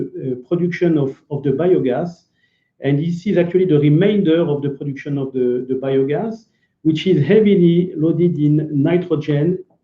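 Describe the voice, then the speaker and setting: Speaking in a French accent, a man talks at a moderate pace and a fairly high pitch with ordinary pitch variation. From France. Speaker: business developer, company executive. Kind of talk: business presentation. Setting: online video event.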